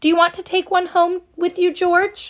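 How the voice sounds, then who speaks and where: A woman's squeaky, extremely high put-on character voice at a moderate pace. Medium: read story. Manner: warm.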